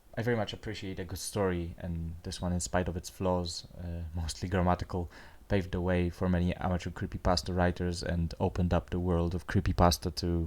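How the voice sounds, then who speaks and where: A man talks at a fairly quick pace in a very deep, low voice with monotone, flat intonation. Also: very clean recording, silent background. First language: not English. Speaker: amateur story narrator. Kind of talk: casual outro talk to viewers. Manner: hesitant, many fillers.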